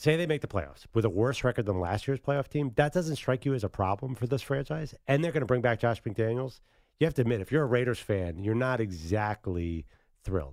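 A man with an American accent talks at a fairly quick pace in a normal speaking voice. His pitch is medium, and the recording is very clean with a silent background. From Philadelphia. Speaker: sports radio co-host. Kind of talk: casual sports talk radio.

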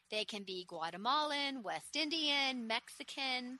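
A woman calls out in a raised, projected voice, her high pitch making very wide swings. Her tone is enthusiastic, warm, bright and sharp, with a dry, close sound and no echo. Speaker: nursery owner and radio host. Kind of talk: radio sales pitch, street seller style. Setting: radio studio. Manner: warm, upbeat, chatty; enthusiastic, rattling off lists.

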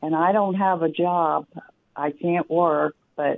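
In an American accent, a woman speaks with a very deep, low pitch and fairly even intonation at a fairly slow pace. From US Midwest. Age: 60s. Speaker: caller. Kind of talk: call-in question. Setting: phone call.

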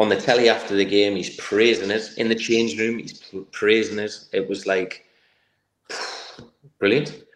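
A man talks with fairly even intonation. There is audible echo from the room. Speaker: former footballer, football coach. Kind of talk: casual interview.

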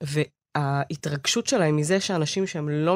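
This woman's voice is very deep and low in pitch. The background is silent and the recording very clean. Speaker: podcast co-host. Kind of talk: casual chat.

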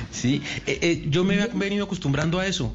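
The voice is somewhat breathy, with audible room echo. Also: man. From Uruguay. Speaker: radio host. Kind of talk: casual chat.

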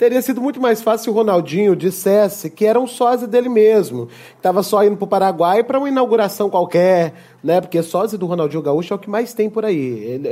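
A man's high-pitched, dark, mellow voice with lively intonation, moving at a fairly quick pace with hardly any pauses. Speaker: comedy podcast host. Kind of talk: comedic sketch chat.

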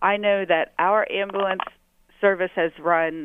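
In a plain, everyday voice, a woman speaks at a fairly slow pace with fairly even intonation. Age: 30s. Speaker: city councilwoman. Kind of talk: policy interview. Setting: phone call.

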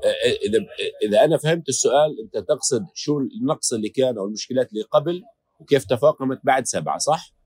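The man's voice sounds dry and close, with no echo, as he talks at a moderate pace. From Gaza Strip. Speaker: war correspondent. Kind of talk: interview.

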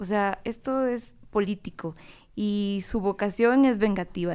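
A woman talks with a medium pitch and ordinary pitch variation. The background is silent and the recording very clean. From Guatemala. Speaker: political scientist. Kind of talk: casual chat.

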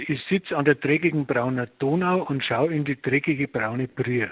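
A man with a Bavarian accent, fairly high in pitch, at a fairly slow pace. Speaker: musician. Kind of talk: interview.

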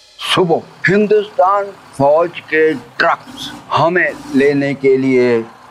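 A man speaks in a high voice with lively intonation over noticeable background noise. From Punjab, Pakistan (Jhang district). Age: 80s+. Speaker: retired army officer, partition survivor. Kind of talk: testimony. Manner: halting.

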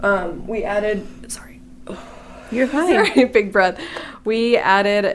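With lively intonation, a woman talks at a fairly slow pace in an ordinary speaking voice. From Illinois. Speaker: data reporter. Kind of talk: casual interview.

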